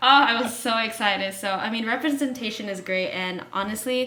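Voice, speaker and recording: At a moderate pace, the speech comes through with noticeable background noise and audible room echo. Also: woman. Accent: American. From United States. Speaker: college basketball player. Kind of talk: casual interview.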